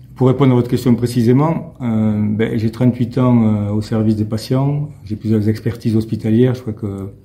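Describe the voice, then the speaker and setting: The man's voice is dark and mellow, with a somewhat breathy quality. His intonation stays fairly even. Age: 60s. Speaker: mayor and hospital health worker. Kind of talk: interview. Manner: hesitant, many fillers and repetitions.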